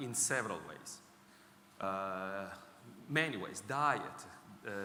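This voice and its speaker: A man, very slow, with long, frequent pauses, lively intonation, big swings in loudness and audible room echo. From Italy. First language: Italian. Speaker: technology executive speaking on healthy ageing. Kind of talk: conference talk. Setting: stage with audience.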